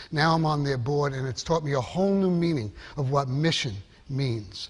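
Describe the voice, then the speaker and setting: The voice is somewhat breathy and moves at a moderate pace, with audible room echo. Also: man, fairly high pitch for a man, ordinary pitch variation. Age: 60s. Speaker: marketing executive and keynote speaker. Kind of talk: conference keynote talk. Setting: stage with audience. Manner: animated.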